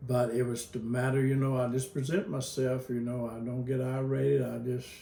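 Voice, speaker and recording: Fairly even intonation at a moderate pace, over noticeable background noise and audible room echo. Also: man, medium pitch for a man. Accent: Southern US. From Kentucky. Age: 70s. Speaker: pastor and retired school counselor. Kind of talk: interview. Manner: halting.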